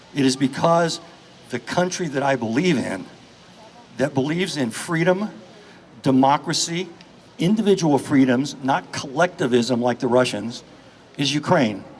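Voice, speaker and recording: Against noticeable background noise, a man with an American accent and a fairly high pitch speaks with lively intonation and long, frequent pauses. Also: moderate pace. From United States. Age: 60s. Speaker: charity founder and activist. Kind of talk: speech at a rally. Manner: impassioned.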